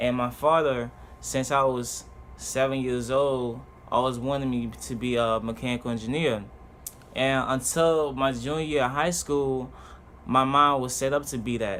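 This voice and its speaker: Speaking with a Haitian accent at a moderate pace, a man with a medium pitch keeps his intonation fairly even amid audible room echo. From Haiti, then Richmond, Virginia from age six. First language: Haitian Creole. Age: 20s. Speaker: vlogger. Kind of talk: personal introduction monologue. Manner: halting, with fillers and restarts.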